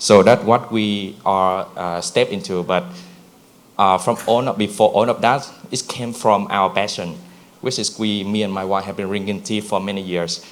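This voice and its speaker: A man with a Vietnamese accent speaks at a moderate pace. His pitch is fairly low and his intonation fairly even. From Vietnam (Nha Trang). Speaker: brand founder. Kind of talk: conference presentation. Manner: halting, many fillers.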